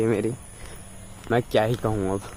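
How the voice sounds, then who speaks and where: A man's medium-pitched voice, monotone and flat in intonation, at a moderate pace over noticeable background noise. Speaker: vlogger, hospitality student. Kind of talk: casual vlog. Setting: outdoors, walking to college.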